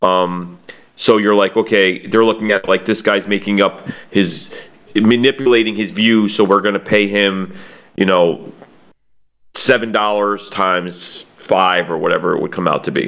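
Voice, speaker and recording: With an American accent and a plain, everyday voice, a man speaks at a fairly low pitch with fairly even intonation. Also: moderate pace. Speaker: podcast co-host and scambaiter. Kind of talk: casual interview chat. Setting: online call.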